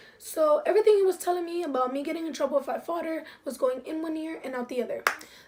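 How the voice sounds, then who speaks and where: Noticeable background noise sits behind a woman who talks very fast. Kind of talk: casual story time to camera.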